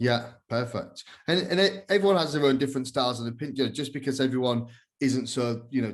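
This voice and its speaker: A man talks at a very fast pace with a medium pitch. His pitch varies in an ordinary way. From northern England, Hull. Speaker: podcast host. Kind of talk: casual interview chat. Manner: casual, fast with many fillers.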